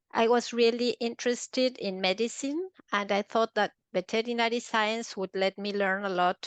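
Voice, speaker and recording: In an Argentine accent, a woman with a fairly high pitch speaks at a moderate pace with ordinary pitch variation, in a dry, close sound with no echo and a quiet background. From Argentina, Buenos Aires. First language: Spanish. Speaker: veterinarian turned translator and interpreter. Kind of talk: podcast interview.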